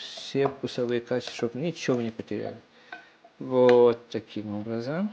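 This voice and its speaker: A man talks at a fairly slow pace with ordinary pitch variation, and noticeable background noise can be heard. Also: medium pitch for a man. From Estonia. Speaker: home cook vlogger. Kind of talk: cooking tutorial. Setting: home kitchen. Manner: halting, with many false starts.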